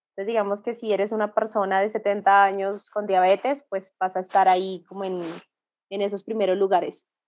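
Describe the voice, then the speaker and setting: This woman speaks with a Bogotá accent at a fairly quick pace. Her voice sits at a medium pitch, with monotone, flat intonation. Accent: Bogotá Colombian Spanish. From Colombia, Bogotá. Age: 30s. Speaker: tech sales professional. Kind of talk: interview. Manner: halting.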